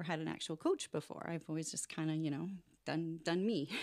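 An ordinary speaking voice moves at a fairly quick pace with fairly even intonation, captured in a very clean recording with a silent background. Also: woman. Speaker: rent-to-own business owner and author. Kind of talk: podcast interview.

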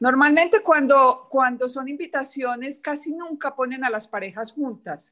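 A woman's voice at a high pitch. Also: very clean recording, silent background. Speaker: etiquette and protocol expert, PR agency founder. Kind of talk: casual interview chat.

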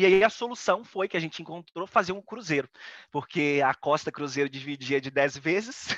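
A man's normal speaking voice, fairly high in pitch, with lively intonation at a moderate pace, dry and close with no echo, over a quiet background. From Brazil. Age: 30s. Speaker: photographer. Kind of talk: casual interview.

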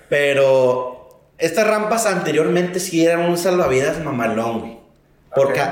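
A man talks in a fairly high pitch. There is noticeable background noise and audible room echo. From Mexico. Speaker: truck driver. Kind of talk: casual chat.

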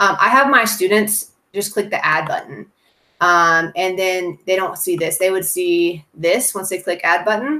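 The voice sounds bright and sharp, with ordinary pitch variation. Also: woman, medium pitch for a woman. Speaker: first grade teacher. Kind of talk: tutorial. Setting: video call. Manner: fast talker.

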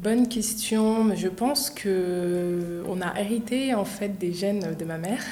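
A woman talks with ordinary pitch variation. Noticeable background noise and audible room echo are present. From Paris suburbs, France. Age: 20s. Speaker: entrepreneur. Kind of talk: interview. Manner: hesitant.

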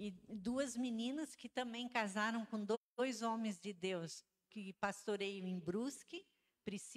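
In a dry, close sound with no echo, a woman speaks very slowly at a fairly high pitch with ordinary pitch variation. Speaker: pastor's wife. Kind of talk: testimony.

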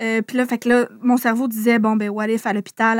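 A woman with a Quebec accent, fairly high in pitch, quick-paced and flat in intonation, in a dry, close sound with no echo. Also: very clean recording, silent background. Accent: Québécois French. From Quebec City region. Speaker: YouTuber. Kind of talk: casual chat.

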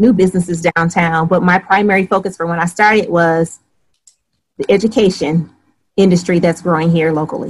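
In an American accent, a woman talks with a somewhat breathy voice and fairly even intonation. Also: fairly low pitch for a woman, fairly quick pace. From Michigan (Flint). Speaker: short-term rental host and real estate investor. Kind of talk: interview.

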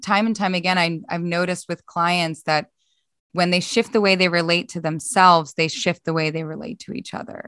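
A woman's fairly low, bright, sharp voice with a Philadelphia accent, dry and close with no echo. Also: ordinary pitch variation. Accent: US East Coast (Philadelphia). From US, Philadelphia. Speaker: organizational psychologist. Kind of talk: podcast interview.

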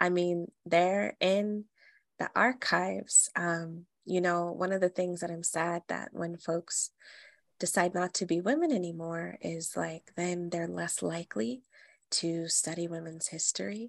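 Recorded with a dry, close sound and no echo, a woman speaks fairly slowly in a fairly low pitch with ordinary pitch variation. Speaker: herbalist podcast host. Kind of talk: casual chat.

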